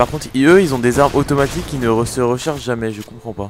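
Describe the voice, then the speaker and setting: Music plays behind a man with a medium pitch and ordinary pitch variation. He sounds animated and talks at a fairly quick pace. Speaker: gaming youtuber. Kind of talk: let's play commentary. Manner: casual, animated.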